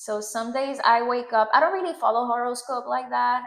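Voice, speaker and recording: This woman has a slight Puerto Rican accent. Her intonation is lively. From Puerto Rico, Ponce. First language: Spanish. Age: 30s. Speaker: hairstylist. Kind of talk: hair tutorial with casual chat. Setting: home studio.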